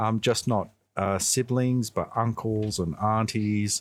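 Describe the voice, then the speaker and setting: A man in an Australian accent speaks with fairly even intonation in a very clean recording against a silent background. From Melbourne, Australia (St Albans, Macedon). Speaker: water utility worker. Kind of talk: interview. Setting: community radio broadcast.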